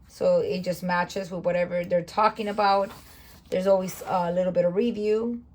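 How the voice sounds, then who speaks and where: A woman's somewhat breathy voice moves at a moderate pace with monotone, flat intonation. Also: medium pitch for a woman. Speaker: homeschooling parent and curriculum reviewer. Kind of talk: curriculum flip-through tutorial. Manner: casual with fillers.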